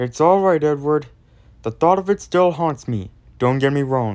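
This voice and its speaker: This is a put-on character voice pitched in the low-to-middle range. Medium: solo performance. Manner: earnest, shaken.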